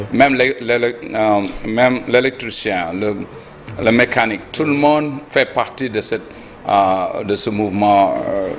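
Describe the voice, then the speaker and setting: Over noticeable background noise, a man at medium pitch talks at a very slow pace. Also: ordinary pitch variation. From Senegal. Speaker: presidential candidate, politician. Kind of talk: TV interview. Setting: TV studio. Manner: halting.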